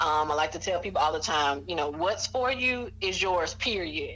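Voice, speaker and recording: A woman with an Alabama accent, medium pitch, lively intonation and a moderate pace. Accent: Southern US (Alabama). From US South, Mobile, Alabama. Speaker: writing and tutoring business owner. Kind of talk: interview.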